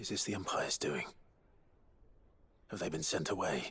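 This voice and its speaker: A man uses a put-on character voice with a serious tone. He speaks at a moderate pace. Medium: video game. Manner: terse, serious.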